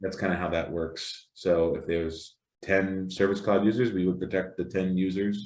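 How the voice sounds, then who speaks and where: A man with an American accent and a very deep, low pitch speaks at a moderate pace with fairly even intonation, and audible room echo surrounds him. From New Jersey. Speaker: security vendor presenter. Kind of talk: Q&A discussion.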